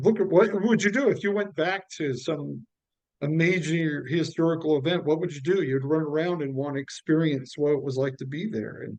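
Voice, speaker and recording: A man with an American accent and a plain, everyday voice, fairly high in pitch, with lively intonation at a moderate pace. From United States. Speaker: stand-up comedian. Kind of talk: interview.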